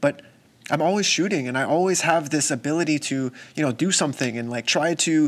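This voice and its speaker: A man's fairly high voice at a fairly quick pace with ordinary pitch variation, in a very clean recording with a silent background. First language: not English. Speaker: photographer and content creator. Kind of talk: casual vlog talk to camera. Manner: casual, conversational.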